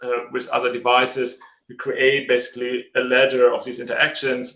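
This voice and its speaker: This man talks in a German accent at a moderate pace. His tone is bright and sharp, medium in pitch, with monotone, flat intonation. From Germany. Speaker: tech startup co-founder. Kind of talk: live video interview. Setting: video call. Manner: halting.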